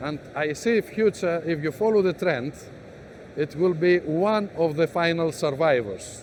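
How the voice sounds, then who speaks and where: This man speaks with a Greek accent at a fairly slow pace. His pitch is high. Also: ordinary pitch variation. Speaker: business executive. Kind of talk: interview. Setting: exhibition stand.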